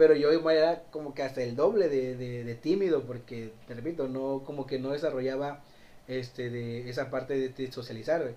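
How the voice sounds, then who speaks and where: Speaking at a moderate pace, this voice keeps its intonation fairly even and its tone dark and mellow. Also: man, medium pitch for a man. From Mexico, Cárdenas. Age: 20s. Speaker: shop vendor. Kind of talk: casual chat.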